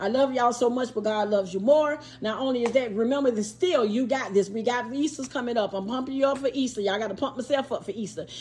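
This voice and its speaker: A woman talks at a very fast pace with hardly any pauses. Her high voice has ordinary pitch variation over noticeable background noise. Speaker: YouTuber, craft seller. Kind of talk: casual vlog chat. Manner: repetitive, stammering restarts.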